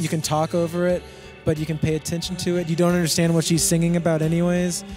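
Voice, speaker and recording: A soft-spoken man talks in a high voice with fairly even intonation. Music plays in the background. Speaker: musician. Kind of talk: interview answer. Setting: outdoors.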